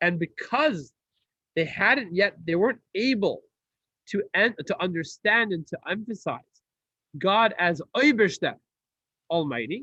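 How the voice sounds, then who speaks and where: A man uses a raised, projected voice with a high pitch, bright, sharp tone, and lively intonation, moving at a fairly slow pace. His long, frequent pauses come through with a dry, close sound with no echo. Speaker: rabbi teaching a class. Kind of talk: lecture.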